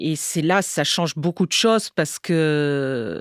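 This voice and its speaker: A woman's fairly low-pitched voice is heard on a very clean recording with a silent background. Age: 60s. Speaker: English teacher, cancer patient. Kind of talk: testimony. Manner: halting, many hesitations.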